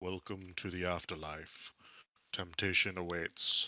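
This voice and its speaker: Putting on a character voice, a man sounds raspy with a very deep, low pitch. He speaks at a fairly slow pace in a monotone, flat intonation. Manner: ominous.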